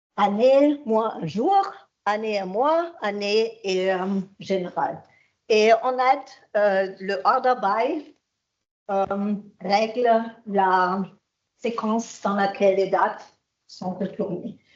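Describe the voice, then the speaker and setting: Ordinary pitch variation at a very slow pace, broken by long, frequent pauses. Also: woman, medium pitch for a woman. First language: German (speaking French). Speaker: IT consultant and trainer. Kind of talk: conference talk. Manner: halting.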